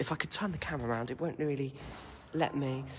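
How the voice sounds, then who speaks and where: Speaking at a medium pitch, a man shows ordinary pitch variation. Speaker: intern giving a guided tour. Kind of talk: casual guided walking tour vlog. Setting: inside an echoey church. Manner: quiet, hushed; hesitant, many ums. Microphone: echo in the room.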